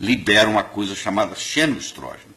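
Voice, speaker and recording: A man with a plain, everyday voice speaks at a moderate pace, his fairly low pitch moving with ordinary variation. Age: 60s. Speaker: cardiologist and nutrition doctor. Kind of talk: TV interview.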